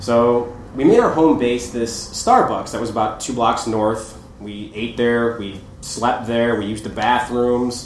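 A man with a medium-pitched voice talks at a fairly slow pace in a monotone, flat intonation, with big swings in loudness. Noticeable background noise sits behind him. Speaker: photographer. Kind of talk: storytelling live. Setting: live show with audience.

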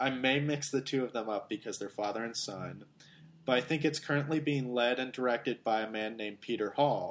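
With an American accent, a man talks at a fairly quick pace in an unremarkable speaking voice, his medium pitch showing ordinary variation. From Germany, Greece and Austria (American expat family). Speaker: podcast guest. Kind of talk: casual chat.

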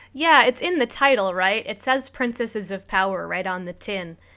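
A woman speaks in a Chicago accent. Her tone is bright and sharp. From Chicago area, US. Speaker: podcast host. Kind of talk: casual podcast chat about a TV show.

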